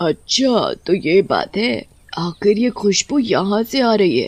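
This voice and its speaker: Raspy and fairly high in pitch, the put-on character voice moves at a fairly slow pace. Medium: audio drama. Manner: demanding, eerie.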